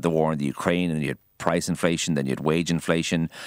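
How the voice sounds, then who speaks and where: With an Irish accent, a man speaks very fast in a very deep, low voice with ordinary pitch variation, the sound dry and close with no echo on a very clean recording over a silent background. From Ireland, Kildare. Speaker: chef. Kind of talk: radio interview. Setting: radio studio.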